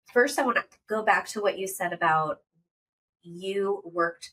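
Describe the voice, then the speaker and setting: Here a woman speaks at a moderate pace. Her tone is bright and sharp. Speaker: podcast host. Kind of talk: interview conversation.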